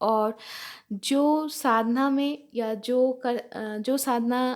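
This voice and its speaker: Recorded very cleanly against a silent background, a woman with a Bengali accent talks at a fairly high pitch with ordinary variation. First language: Bengali (speaking Hindi). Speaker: spiritual teacher reading scripture. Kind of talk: scripture reading and explanation. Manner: halting, with fillers.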